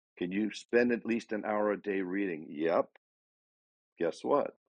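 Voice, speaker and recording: A man talks in an ordinary speaking voice at a moderate pace. His pitch sits fairly low and varies in an ordinary way. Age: 60s. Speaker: life coach. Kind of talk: motivational talk. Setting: live audio room.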